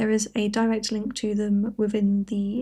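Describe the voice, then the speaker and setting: With a British accent, a woman speaks at a fairly slow pace in a somewhat breathy, dark, mellow voice of fairly high pitch and monotone, flat intonation, on a very clean recording with a silent background. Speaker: crafting YouTuber. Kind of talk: casual chat.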